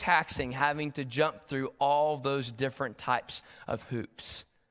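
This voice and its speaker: An East Tennessee accent at a moderate pace, on a very clean recording with a silent background. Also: man, hardly any pauses. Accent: US Southern, East Tennessee. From Tennessee, Knoxville. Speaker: guest preacher. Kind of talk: sermon.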